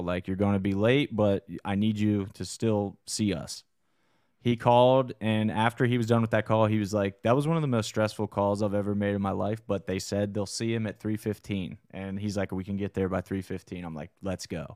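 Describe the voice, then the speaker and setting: A man with a normal speaking voice at a fairly low pitch, fairly quick pace, fairly even intonation and hardly any pauses, in a dry, close sound with no echo on a very clean recording with a silent background. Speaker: combat sports promotion podcast host. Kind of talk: casual chat. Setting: studio. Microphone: good studio mic.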